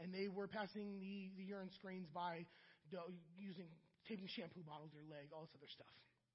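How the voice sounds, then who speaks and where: Through audible room echo, a man with an American accent speaks at a fairly quick pace in a high pitch, with fairly even intonation and big swings in loudness. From US Midwest, Akron, Ohio. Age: 40s. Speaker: church member in recovery. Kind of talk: testimony. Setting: church.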